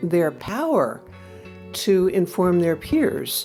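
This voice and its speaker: With music in the background, a woman in an American accent talks at a fairly slow pace. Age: 70s. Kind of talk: podcast interview answer.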